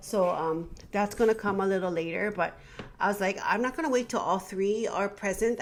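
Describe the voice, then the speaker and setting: A woman with an ordinary speaking voice talks fairly quickly at a medium pitch. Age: 50s. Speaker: teacher. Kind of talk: casual talk to camera.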